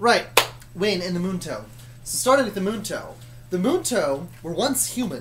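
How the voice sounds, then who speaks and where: The speech has long, frequent pauses, with noticeable background noise throughout. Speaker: YouTuber telling a story. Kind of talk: casual storytelling chat. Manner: fast; slurred words. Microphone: laptop mic, not great.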